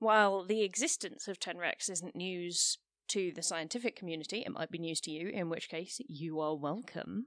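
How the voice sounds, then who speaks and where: A woman at medium pitch talks at a moderate pace, the sound dry and close with no echo. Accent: British. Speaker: science podcast co-host. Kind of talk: casual chat.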